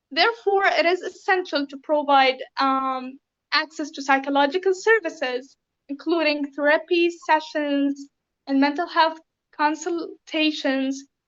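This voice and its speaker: Speaking fairly slowly in a Syrian accent, a woman uses a high pitch with ordinary pitch variation. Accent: Syrian Arabic accent in speech. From Syria (raised in Lebanon). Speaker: refugee interviewee. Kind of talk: interview. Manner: hesitant, many fillers.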